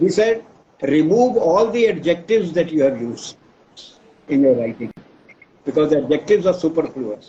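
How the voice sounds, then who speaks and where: At a moderate pace, a man with a fairly high voice makes very wide pitch swings and leaves long, frequent pauses. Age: 80s+. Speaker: professor. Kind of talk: interview.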